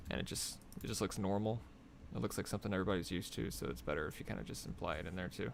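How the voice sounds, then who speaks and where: With vocal fry throughout, the voice races at a very fast pace through very wide pitch swings. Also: man, very deep, low pitch for a man. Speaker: concept artist. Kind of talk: live drawing tutorial. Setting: live stream. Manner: casual, thinking aloud; quiet, soft-spoken while concentrating.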